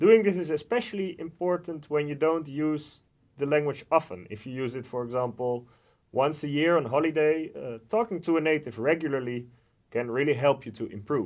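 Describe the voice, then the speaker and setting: This man has a fairly high pitch and lively intonation. His pace is moderate. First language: Dutch. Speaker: language center coordinator and student. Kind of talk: informational talk to camera. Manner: hesitant, with frequent filler sounds.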